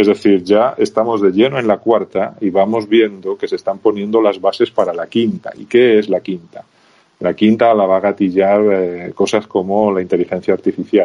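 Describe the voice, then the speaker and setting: A man talks in an unremarkable speaking voice, fairly low in pitch. His intonation stays fairly even at a moderate pace. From Spain, rural Zamora (Castile and León). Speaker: sales consultant and lecturer. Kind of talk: interview.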